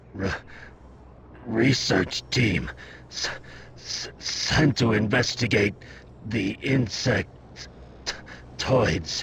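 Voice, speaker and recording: A man in a put-on character voice, raspy and medium in pitch, at a very slow pace with long, frequent pauses, over clear background noise. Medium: video game. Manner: heavy stutter, halting, repeats syllables.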